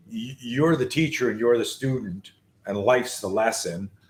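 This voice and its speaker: The man's voice is somewhat breathy and medium in pitch. He keeps a moderate pace with ordinary pitch variation. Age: 60s. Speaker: self-defense instructor. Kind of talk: casual chat.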